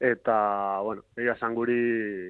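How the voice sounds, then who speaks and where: A man speaks at a medium pitch. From Basque Country (Zumaia, Gipuzkoa). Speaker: sprint canoeist. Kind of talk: interview. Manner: halting, many fillers.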